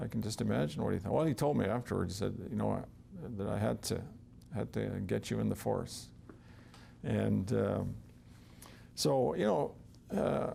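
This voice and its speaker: Very deep and low, a man's voice carries a dark, mellow tone and vocal fry, with very wide pitch swings, very even loudness, a moderate pace and long, frequent pauses. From northern Saskatchewan, Canada, raised on a Cree reserve. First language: Cree. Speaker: retired police officer. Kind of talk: interview storytelling. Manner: hesitant, many fillers.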